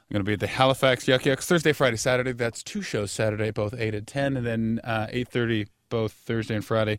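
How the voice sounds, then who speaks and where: The man has an unremarkable speaking voice at medium pitch, with fairly even intonation. He talks at a fairly quick pace with hardly any pauses, in a very clean recording with a silent background. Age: young. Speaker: stand-up comedian. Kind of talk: casual chat. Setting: studio.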